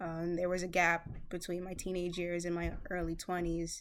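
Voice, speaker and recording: In an American accent, a woman with a fairly low pitch speaks at a moderate pace in a monotone, flat intonation. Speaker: interviewee. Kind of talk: casual interview answers.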